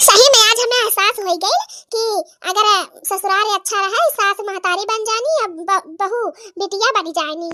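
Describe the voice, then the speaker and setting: An extremely high-pitched, cartoonish character voice from a woman. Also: moderate pace. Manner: polite, respectful.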